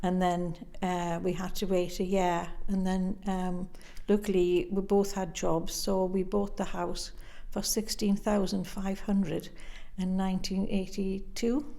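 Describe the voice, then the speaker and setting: A woman's medium-pitched voice in a Northumbrian accent, dark and mellow in tone, with monotone, flat intonation at a fairly slow pace amid audible room echo. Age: 80s+. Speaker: interviewee in oral history project. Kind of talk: interview.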